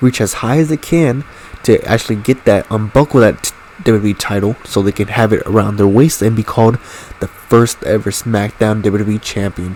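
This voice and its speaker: A medium-pitched male voice at a fairly quick pace, ordinary pitch variation, and noticeable background noise. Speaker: gaming commentator. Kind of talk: live commentary. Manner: stuttering at times; casual, hesitant with fillers.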